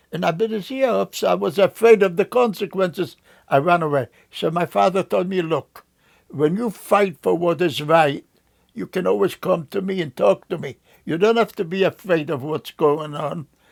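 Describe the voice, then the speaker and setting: A man with a Polish accent and a high pitch speaks at a moderate pace with lively intonation in a very clean recording with a silent background and a dry, close sound with no echo. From Poland. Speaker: Holocaust survivor. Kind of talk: oral history interview. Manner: halting.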